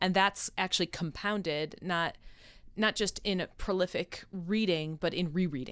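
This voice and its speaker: With an American accent, a woman speaks at medium pitch and very even loudness on a very clean recording with a silent background. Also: fairly even intonation, moderate pace. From Rochester, New York. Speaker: professor of biblical studies. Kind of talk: casual interview chat. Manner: talkative.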